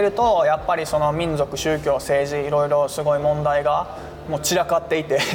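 At a moderate pace, a man speaks with ordinary pitch variation amid noticeable background noise and audible room echo. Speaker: humanitarian aid worker. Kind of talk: interview.

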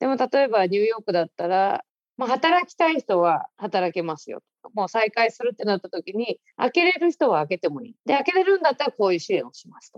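A woman talks at a fairly quick pace and fairly high pitch, with very wide pitch swings and big swings in loudness. The sound is dry and close, with no echo. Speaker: writer. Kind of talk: interview talk.

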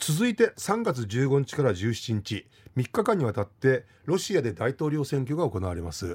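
A man's vocal fry at a moderate pace, with very wide pitch swings, on a very clean recording with a silent background. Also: medium pitch for a man. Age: 50s. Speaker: history lecturer and radio news commentator. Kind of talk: explanatory news commentary on radio. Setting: radio studio. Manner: conversational with many fillers.

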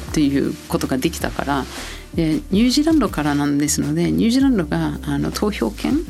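Music plays behind the speaker. She is a woman talking fairly quickly. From New Zealand. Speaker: marketing executive. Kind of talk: interview.

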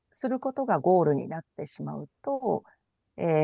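A woman's dark, mellow voice in a dry, close sound with no echo against a quiet background. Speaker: IT company CEO. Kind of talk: radio interview.

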